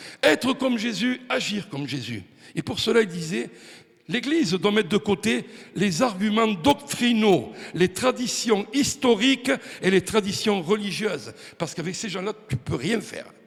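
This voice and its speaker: A man talks with lively intonation and a high pitch, his loudness swinging widely. His pace is fairly slow. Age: 60s. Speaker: preacher. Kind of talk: sermon. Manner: animated.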